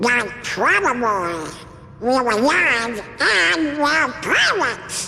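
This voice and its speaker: A put-on character voice with fairly high pitch speaks at a very slow pace over clear background noise. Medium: video game.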